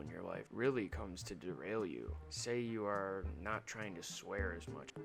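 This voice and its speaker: A quiet man's voice, fairly low in pitch, with lively intonation. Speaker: gaming youtuber. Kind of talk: casual vlog monologue. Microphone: bad audio quality.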